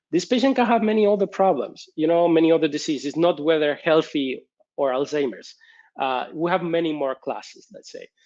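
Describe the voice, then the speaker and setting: A man with a Spanish accent, fairly high pitch and ordinary pitch variation at a moderate pace over a quiet background. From Spain. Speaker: research professor. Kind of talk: conference talk with Q&A. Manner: hesitant with fillers.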